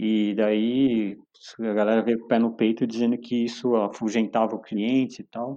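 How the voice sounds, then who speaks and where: A man's dark, mellow, medium-pitched voice at a moderate pace, monotone and flat in intonation. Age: 50s. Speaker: climbing gym owner. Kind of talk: casual chat.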